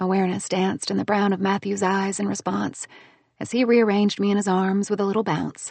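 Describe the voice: Text read aloud plainly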